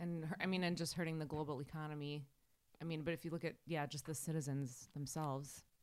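Very fast and very deep, a woman's low voice with a Wisconsin accent keeps fairly even intonation on a very clean recording with a silent background. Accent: Wisconsin Midwestern. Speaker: podcast host. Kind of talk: casual chat.

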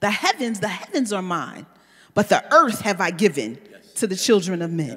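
A woman's medium-pitched voice with very wide pitch swings. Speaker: pastor. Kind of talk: teaching. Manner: deliberately slow.

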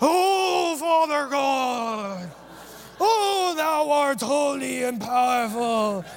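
Over clear background noise, a man does a put-on character voice at an extremely high pitch and a very slow pace. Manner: pompous, solemn.

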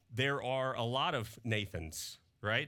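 Recorded very cleanly with a silent background, a man with a slight Southern US accent talks at a medium pitch in a bright, sharp tone. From Mississippi, US South. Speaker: pastor. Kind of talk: sermon. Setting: church. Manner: casual, conversational.

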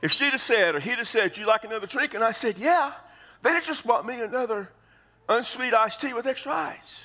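A man with an American accent speaks at a fairly quick pace in an extremely high pitch. His voice is raised and projected, with a bright, sharp tone. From Texas. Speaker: pastor. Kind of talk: sermon. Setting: church.

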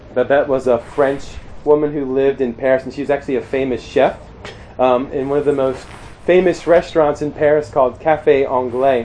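A man with an American accent at a moderate pace, monotone and flat in intonation, with noticeable background noise. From US Mid-Atlantic (Maryland, near Pennsylvania border). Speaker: campus minister / preacher. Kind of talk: sermon. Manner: hesitant with fillers.

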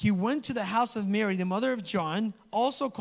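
Someone reads in a natural voice, and the pitch varies in an ordinary way.

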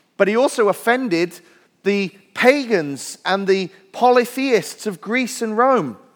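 With a Welsh accent, a man speaks using ordinary pitch variation. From Wales. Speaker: pastor. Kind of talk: sermon. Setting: church.

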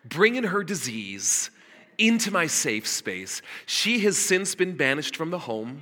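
Over noticeable background noise, a man talks at a high pitch and fairly slow pace, his voice making very wide pitch swings. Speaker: pastor. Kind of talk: sermon. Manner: casual and halting.

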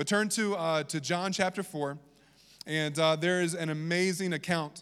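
On a very clean recording with a silent background, a man with a slight Southern US accent speaks at fairly high pitch with fairly even intonation. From Virginia. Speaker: pastor. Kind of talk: sermon.

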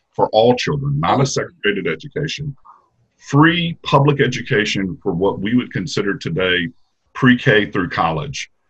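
A man with a Mississippi accent speaks at a moderate pace and a medium pitch. His voice has vocal fry and very wide pitch swings. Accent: US Southern (Mississippi). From Mississippi, Jackson area. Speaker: history professor. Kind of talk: interview.

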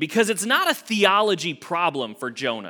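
A man speaks in a raised, projected voice with a high pitch. His tone is bright and sharp. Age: 30s. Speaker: associate minister, preacher. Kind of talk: casual, conversational church sermon teaching through the Book of Jonah. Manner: chatty and informal, with frequent fillers and repeated words; rhetorical check-ins with the congregation, frequent 'right?'.

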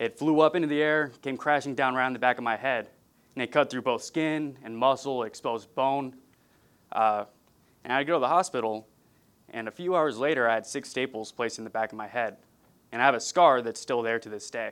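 Here a man with an American accent talks at a fairly quick pace. His pitch is medium, with ordinary variation. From California. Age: 20s. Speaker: pastor. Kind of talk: sermon.

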